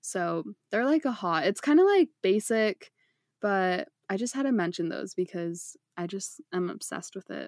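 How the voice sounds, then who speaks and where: A woman speaks at a moderate pace with a medium pitch. The sound is dry and close with no echo, on a very clean recording with a silent background. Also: lively intonation. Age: 20s. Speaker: podcast host. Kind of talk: casual chat. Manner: animated.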